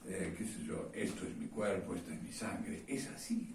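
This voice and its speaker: The voice carries audible room echo along with noticeable background noise. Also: man. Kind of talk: sermon. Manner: hesitant, many fillers.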